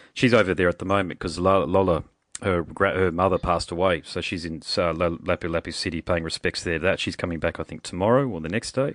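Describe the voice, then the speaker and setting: A man talks at a very fast pace with an Australian accent. His very deep, low voice shows ordinary pitch variation. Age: 40s. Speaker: podcast host. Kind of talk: casual chat. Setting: phone call.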